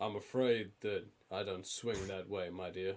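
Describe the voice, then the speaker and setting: Putting on a gruff character voice, the man talks at a moderate pace with a fairly low pitch. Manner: dismissive, amused.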